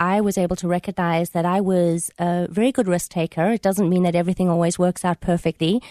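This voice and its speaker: Against a quiet background with a dry, close sound and no echo, a woman with a South African accent speaks at a fairly quick pace, her medium-pitched, dark and mellow voice following a fairly even intonation. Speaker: author. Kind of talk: radio interview. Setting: radio studio.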